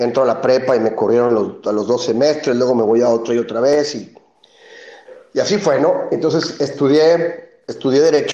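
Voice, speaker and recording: A man's voice has a dark, mellow tone and ordinary pitch variation. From Mexico City. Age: 40s. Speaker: beer company founder. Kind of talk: interview. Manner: halting, with many repetitions.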